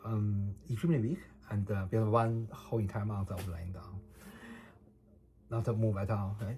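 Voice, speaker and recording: A man speaks at a fairly quick pace in a fairly low, somewhat breathy voice, with a Chinese accent and fairly even intonation. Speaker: vlogger documenting personal case. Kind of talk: personal testimony monologue. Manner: halting, many fillers and repetitions.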